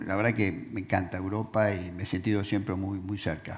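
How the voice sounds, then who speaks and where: A man speaks in a Rioplatense accent at a fairly low pitch. His intonation is monotone and flat. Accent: Argentine Rioplatense Spanish. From Argentina (Rosario area). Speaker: businessman, panelist. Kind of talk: panel interview.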